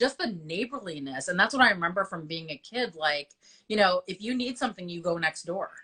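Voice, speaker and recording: With a Chicago accent, the speaker uses a bright, sharp tone, lively intonation, big swings in loudness and a fairly quick pace. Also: woman, medium pitch for a woman. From US Midwest, Chicago. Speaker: business association host interviewing local business owners. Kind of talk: casual interview. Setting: Instagram live video.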